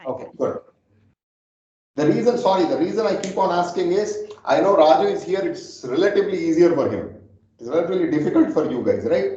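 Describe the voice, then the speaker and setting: Room echo is audible. A man talks at a fairly quick pace. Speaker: data scientist teaching a class. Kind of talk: lecture. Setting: classroom with remote listeners on phone.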